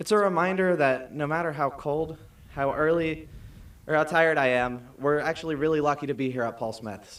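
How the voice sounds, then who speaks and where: With an American accent, a man speaks in a normal speaking voice at a fairly quick pace. His pitch is fairly high, with ordinary pitch variation. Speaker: graduating student speaker. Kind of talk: commencement speech. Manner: formal.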